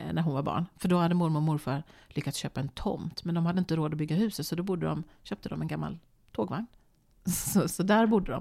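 The voice has a dark, mellow tone with vocal fry and ordinary pitch variation. It moves at a very fast pace on a very clean recording with a silent background. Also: woman, fairly low pitch for a woman. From Sweden, Borås. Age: 50s. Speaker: TV presenter. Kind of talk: casual chat. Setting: home kitchen.

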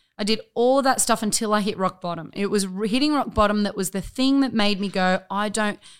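This woman talks at a fairly quick pace in a medium pitch, with ordinary pitch variation. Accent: Australian. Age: 30s. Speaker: gym owner. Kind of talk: casual chat.

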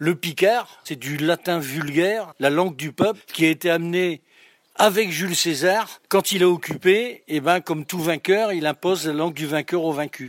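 Man's high-pitched voice, fairly slow, with ordinary pitch variation and a dry, close sound with no echo. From northern France, Picardy. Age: 70s. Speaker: speaker on regional dialect. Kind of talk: interview monologue.

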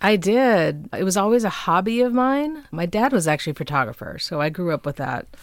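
With an American accent, a woman speaks at a medium pitch with very wide pitch swings and hardly any pauses. The recording is very clean, with a silent background. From Minnesota, suburb of Minneapolis. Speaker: musician and photographer. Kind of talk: casual interview. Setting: home recording studio.

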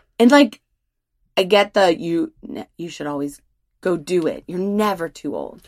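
A woman with a plain, everyday voice speaks at a medium pitch and a fairly slow pace, with lively intonation and big swings in loudness. The sound is dry and close with no echo, on a very clean recording with a silent background. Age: 30s. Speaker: podcast co-host, parent. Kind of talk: casual chat.

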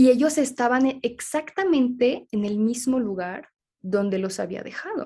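A woman talks at a fairly slow pace. Her intonation is lively and her tone animated. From Switzerland. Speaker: holistic therapist. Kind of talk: interview.

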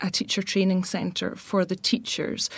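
On a very clean recording with a silent background, a woman with a Glaswegian accent speaks in a fairly low pitch. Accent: Glaswegian Scottish. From Glasgow, Scotland. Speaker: architect. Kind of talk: casual chat.

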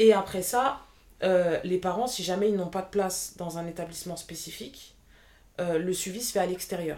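The speaker has an ordinary speaking voice with ordinary pitch variation. Loudness swings widely from moment to moment. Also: woman, medium pitch for a woman, moderate pace. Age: 20s. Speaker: apprentice childcare assistant. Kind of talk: interview testimony.

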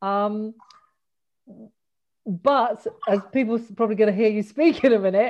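A woman speaks at a medium pitch. Her pitch varies in an ordinary way, and her pace is fairly slow.

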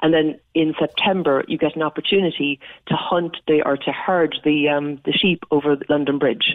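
With a Cork accent, a woman talks at a fairly quick pace in a very deep, low pitch and fairly even intonation. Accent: Irish (Cork). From Ireland. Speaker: Irish diaspora community leader. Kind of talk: radio interview. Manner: chatty.

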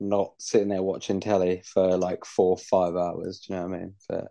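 A man's dark, mellow tone with an English accent, at a moderate pace. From Britain. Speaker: podcast co-host. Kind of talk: casual chat.

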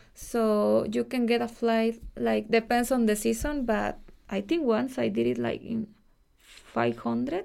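A woman with a Mexican accent at a fairly slow pace. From Mexico. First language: Spanish. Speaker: Mexican expat living in Ireland. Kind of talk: casual interview conversation.

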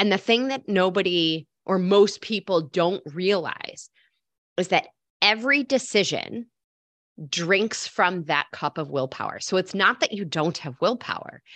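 A woman speaks fairly slowly in a normal speaking voice, medium in pitch, with lively intonation. The sound is dry and close with no echo, against a quiet background. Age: 30s. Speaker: health coach. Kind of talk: casual interview.

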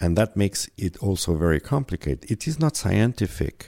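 A man speaks with a very deep, low pitch. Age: 50s. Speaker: perfumer. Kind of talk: interview.

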